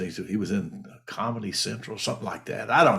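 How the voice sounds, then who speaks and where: A man talks at a fairly quick pace with a fairly low pitch, vocal fry and lively intonation. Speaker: mortgage and real estate advisor. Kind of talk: casual talk to camera. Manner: halting.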